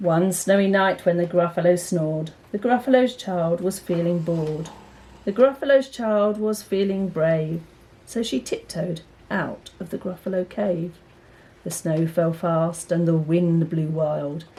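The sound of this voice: A woman's fairly low, dark and mellow voice at a fairly slow pace, with ordinary pitch variation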